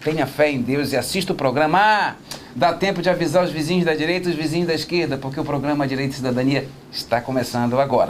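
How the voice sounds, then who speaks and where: A man with a fairly high pitch talks at a very fast pace with ordinary pitch variation over noticeable background noise. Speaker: TV talk show host. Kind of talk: talk show interview. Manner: animated.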